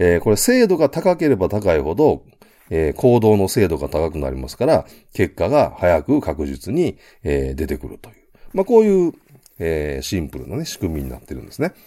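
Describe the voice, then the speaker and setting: A very deep, low male voice at moderate pace, with very wide pitch swings and big swings in loudness. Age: 50s. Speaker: business consultant. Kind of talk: solo business lecture. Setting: home studio. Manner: many filler sounds.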